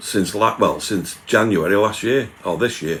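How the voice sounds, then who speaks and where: A man speaks with a Manchester accent. His pitch varies in an ordinary way. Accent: Manchester area English. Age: 60s. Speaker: YouTuber doing food reviews. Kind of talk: live stream chat reading viewer comments.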